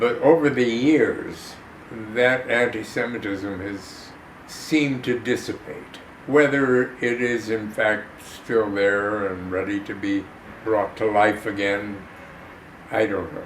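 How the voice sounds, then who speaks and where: A man with a Chicago accent speaks very slowly, with ordinary pitch variation. The audio has audible room echo and noticeable background noise. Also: medium pitch for a man. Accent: Chicago American. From Chicago, US Midwest. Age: 90s. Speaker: actor and war veteran. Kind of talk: interview testimony. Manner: halting.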